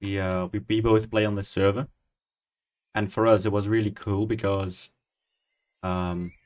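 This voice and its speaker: Speaking with a Dutch accent, a man leaves long, frequent pauses. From Netherlands. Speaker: gaming streamer. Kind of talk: casual chat. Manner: relaxed.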